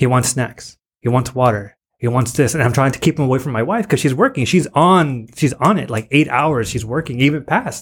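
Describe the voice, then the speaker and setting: A somewhat breathy man speaks with an American accent at a medium pitch. His pace is fairly quick, and the recording is very clean with a silent background. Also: ordinary pitch variation. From US-Mexico border, San Diego area. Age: 30s. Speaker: high school teacher. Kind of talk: casual chat.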